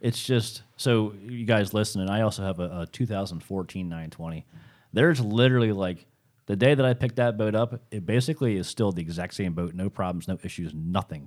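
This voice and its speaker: Here is a man with an American accent and a plain, everyday voice, fairly low in pitch with ordinary pitch variation. He talks at a moderate pace in a very clean recording with a silent background. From South Jersey, US. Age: 30s. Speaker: professional bass angler and fishing guide. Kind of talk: casual interview. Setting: studio.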